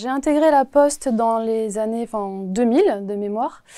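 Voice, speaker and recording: A woman speaks at a fairly slow pace in a fairly high voice with a dark, mellow tone. The recording is very clean, with a silent background. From Paris region, France. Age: 40s. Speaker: postal worker, Olympic torchbearer. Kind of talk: interview answers. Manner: hesitant, many filler sounds.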